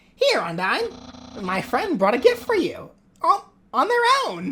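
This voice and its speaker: This is a put-on character voice, pitched fairly high. Its delivery is fairly slow. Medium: game stream. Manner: loud, exuberant.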